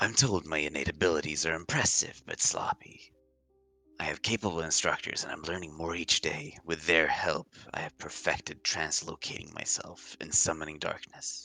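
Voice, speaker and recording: Whispering in a put-on character voice at a moderate pace, the speaker is accompanied by faint music in the background. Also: man. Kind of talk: dramatic diary reading. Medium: actual play. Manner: grim, intense, fanatical.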